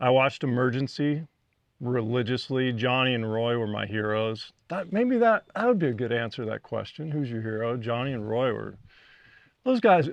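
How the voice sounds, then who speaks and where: A man speaks at a medium pitch with an American accent. His pitch varies in an ordinary way. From Texas, Fort Worth. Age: 50s. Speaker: retired firefighter paramedic, mental health advocate. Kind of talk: personal storytelling talk. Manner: animated, some repetitions and restarts.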